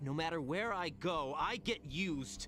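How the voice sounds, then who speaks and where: Over clear background music, a man does a put-on character voice, fairly high-pitched, at a moderate pace. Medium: video game. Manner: wounded, guarded.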